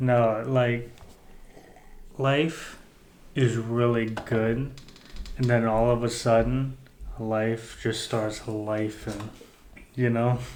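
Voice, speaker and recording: With audible room echo, a man at medium pitch speaks at a very slow pace in a monotone, flat intonation, leaving long, frequent pauses. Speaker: podcast co-host. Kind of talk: casual chat. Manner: soft-spoken.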